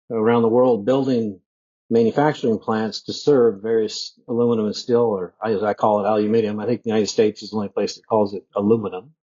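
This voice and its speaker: This man has an ordinary speaking voice at a medium pitch. He talks at a fairly quick pace with fairly even intonation. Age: 50s. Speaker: bitcoin mining executive. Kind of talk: casual interview. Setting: remote podcast call. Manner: conversational with fillers.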